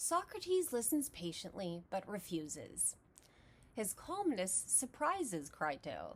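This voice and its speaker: Speaking fairly slowly in an American accent, a woman with a fairly high pitch shows vocal fry and very wide pitch swings. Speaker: philosophy educator. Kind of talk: lecture.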